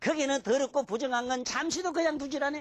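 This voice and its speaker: The speaker has a strong Gyeongsang accent and keeps a moderate pace. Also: very clean recording, silent background. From Gyeongsang province, Korea (Mungyeong). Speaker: lecturer on classical Chinese texts. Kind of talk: lecture. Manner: animated, colloquial.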